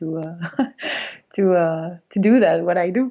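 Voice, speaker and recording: A woman speaks with a fairly low pitch. Her pace is fairly slow. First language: Spanish. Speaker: film festival founder. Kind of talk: interview. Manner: halting.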